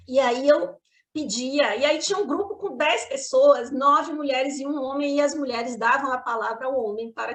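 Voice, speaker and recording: A woman is speaking. Her voice is high-pitched. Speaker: spiritist lecturer. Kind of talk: lecture. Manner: fast.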